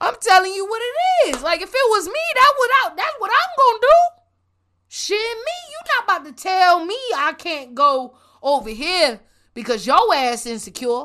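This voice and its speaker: A woman speaks at a moderate pace in a raised, projected voice with an animated, bright, sharp tone. Her pitch is extremely high with very wide swings, and her loudness swings widely too. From Puerto Rican and Colombian heritage. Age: 20s. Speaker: podcast host. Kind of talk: solo rant monologue.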